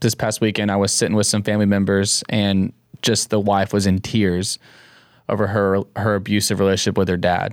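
The delivery is monotone and flat, with very even loudness and a fairly quick pace. The recording is very clean, with a silent background. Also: man. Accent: American. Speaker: podcast co-host and worship leader. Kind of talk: casual conversational podcast discussion on faith. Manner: joking, playful.

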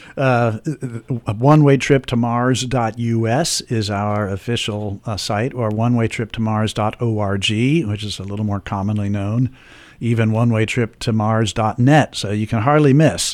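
Heard on a very clean recording with a silent background, a man with an American accent speaks in an unremarkable speaking voice at a fairly slow pace, his medium pitch held in fairly even intonation. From Washington, D.C. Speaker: musician and composer. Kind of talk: radio interview.

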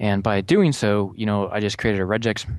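An unremarkable speaking voice at a moderate pace. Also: man. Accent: American. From Florida. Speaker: network security engineer, panel regular. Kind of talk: technical panel discussion. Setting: studio.

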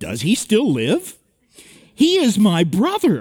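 This voice is a put-on character voice at a fairly high pitch. It moves at a fairly slow pace. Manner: expressive, pleased tone.

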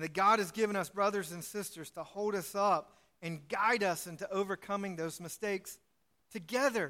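A man's raised, projected voice, high in pitch, with a bright, sharp tone. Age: 40s. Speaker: pastor. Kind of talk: sermon. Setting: church.

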